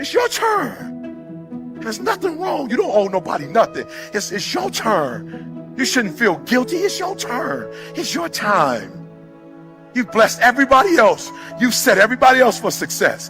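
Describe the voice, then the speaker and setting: A man with an American accent speaks at a moderate pace in a passionate tone. Music plays in the background. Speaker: motivational speaker. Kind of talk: motivational speech. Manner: passionate, fervent.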